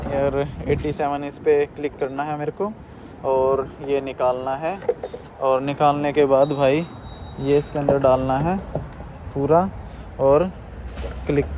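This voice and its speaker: Amid noticeable background noise, a man with a fairly high pitch and fairly even intonation speaks with long, frequent pauses. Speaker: travel vlogger. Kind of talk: casual vlog narration. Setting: outdoors at petrol station. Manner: casual, conversational.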